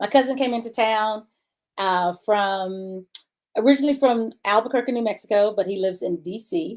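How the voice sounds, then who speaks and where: An unremarkable speaking voice from a woman, pitched fairly high, moderate in pace, with ordinary pitch variation. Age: 60s. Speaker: talk show host. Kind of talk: casual chat.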